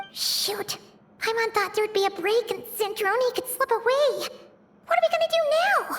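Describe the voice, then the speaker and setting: An extremely high, squeaky put-on character voice delivers its lines at a moderate pace. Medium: video game. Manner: huffy, sighing, sarcastic.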